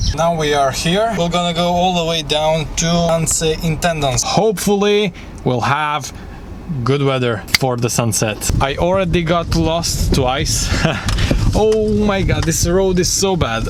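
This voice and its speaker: A high-pitched man with a non-native accent, fairly slow and lively in intonation, his loudness very even, with audible room echo and music in the background. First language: not English. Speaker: travel vlogger. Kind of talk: travel vlog narration. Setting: outdoors.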